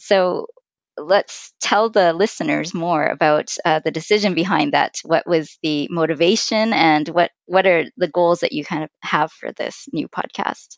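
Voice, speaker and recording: This is an unremarkable speaking voice with a Canadian accent. It moves at a fairly slow pace with ordinary pitch variation. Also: woman, fairly low pitch for a woman. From Vancouver, Canada. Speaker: podcast co-host, finance blogger. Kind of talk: casual chat.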